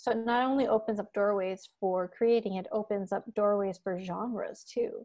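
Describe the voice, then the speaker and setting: A woman with an American accent speaks at a moderate pace with hardly any pauses, using a fairly high pitch and fairly even intonation. It is an unremarkable speaking voice, set against a quiet background. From Michigan. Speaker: music education professor. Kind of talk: casual interview. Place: home room. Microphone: earbuds.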